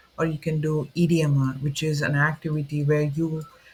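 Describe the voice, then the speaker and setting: Here a man speaks at a fairly slow pace with a non-native accent. His voice sits fairly high. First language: not English. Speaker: student video creator. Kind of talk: unscripted explainer talk. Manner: informal, with fillers and self-corrections.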